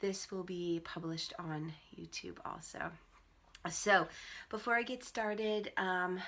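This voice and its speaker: This woman has a normal speaking voice at a medium pitch, talking at a fairly slow pace with ordinary pitch variation. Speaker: spiritual teacher leading women's ceremonies. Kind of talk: live-streamed teaching and guided ceremony. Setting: live stream from home computer. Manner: slow, calm guided breathing.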